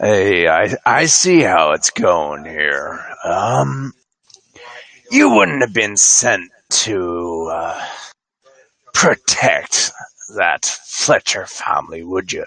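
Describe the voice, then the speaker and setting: A man does a put-on character voice, gruff, raspy and growling at a fairly low pitch. He speaks at a very slow pace with long, frequent pauses, in a dry, close sound with no echo. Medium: actual play. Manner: gruff, growling.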